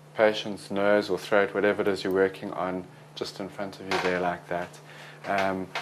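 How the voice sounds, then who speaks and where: A man talks over noticeable background noise. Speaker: medical teacher. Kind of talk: lecture. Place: classroom.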